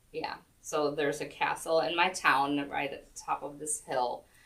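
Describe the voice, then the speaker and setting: In a German accent, a woman speaks at a fairly slow pace. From southern Germany. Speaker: yoga instructor. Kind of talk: casual interview.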